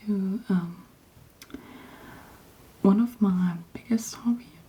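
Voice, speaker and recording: Someone soft-spoken talks over noticeable background noise. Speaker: polymer clay hobbyist / ASMR creator. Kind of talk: ASMR show and tell, casual talk to camera.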